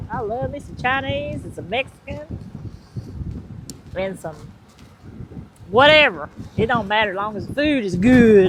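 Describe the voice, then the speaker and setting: With a Southern accent, a woman speaks at a moderate pace and a fairly high pitch, her intonation lively and her loudness swinging widely, with long, frequent pauses over noticeable background noise. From US South, Georgia. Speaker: vlogger's partner. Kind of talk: casual chat. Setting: outdoors.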